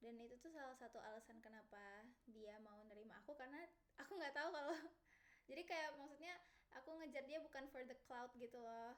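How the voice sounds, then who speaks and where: Her pitch high, a woman speaks at a fairly quick pace with ordinary pitch variation. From Indonesia, Medan (Batak). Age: young. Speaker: student introducing herself. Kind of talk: casual self-introduction. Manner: informal, filler-heavy.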